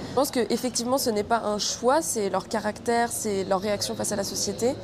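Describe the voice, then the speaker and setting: A woman speaks at a fairly quick pace with a fairly high pitch and fairly even intonation, over noticeable background noise. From Brazil (Rio de Janeiro). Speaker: actress. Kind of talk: film interview.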